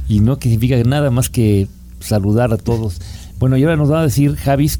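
A man with a fairly low pitch swings his voice very widely up and down against noticeable background noise. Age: 50s. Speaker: travel show host. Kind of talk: casual chat.

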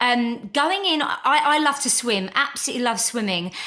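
A woman speaks in a raised, projected voice with an animated tone and lively intonation over noticeable background noise. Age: 40s. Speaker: podcast host and spiritual healer. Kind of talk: casual interview chat.

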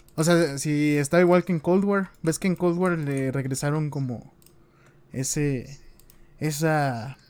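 With a Mexican accent, a man talks at a fairly high pitch with ordinary pitch variation. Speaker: gaming podcast co-host. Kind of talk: casual chat. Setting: live stream.

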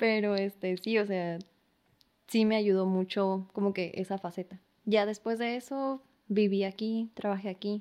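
A woman talks at a fairly slow pace in a medium pitch with a dark, mellow tone. Her intonation stays fairly even over a quiet background. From San Luis Río Colorado, Sonora, Mexico. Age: 20s. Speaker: painter and makeup artist. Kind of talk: casual interview chat.

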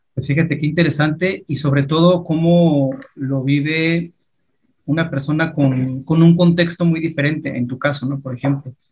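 A man with a fairly high pitch speaks at a moderate pace. His delivery is monotone and flat, and a bit breathy. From Mexico. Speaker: podcast host. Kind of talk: casual interview.

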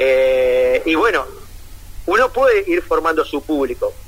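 A man with a Uruguayan accent at a fairly slow pace. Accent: Rioplatense Spanish (Uruguayan). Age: 40s. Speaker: comedian and comedy writer. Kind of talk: casual interview. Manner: halting, many fillers and repetitions.

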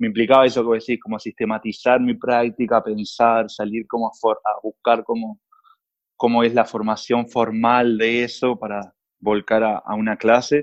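A man with a Uruguayan accent, medium in pitch, at a moderate pace, with monotone, flat intonation and a dry, close sound with no echo. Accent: Uruguayan Rioplatense Spanish. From Uruguay, San José. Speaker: film producer. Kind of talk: casual conversation.

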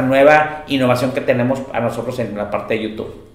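Against noticeable background noise and audible room echo, a man speaks at a moderate pace with a medium pitch. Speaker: security consultant and webinar host. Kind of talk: presentation.

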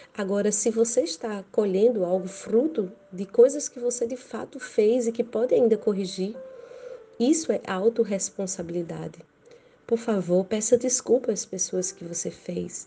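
A woman's fairly high voice at a fairly slow pace, with big swings in loudness over noticeable background noise. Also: ordinary pitch variation. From Brazil, Rio Grande do Norte. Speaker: evangelical preacher. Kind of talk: sermon.

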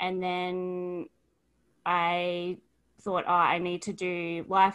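On a very clean recording with a silent background, a woman talks with an Australian accent. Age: 20s. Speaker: author and life coach. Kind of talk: interview.

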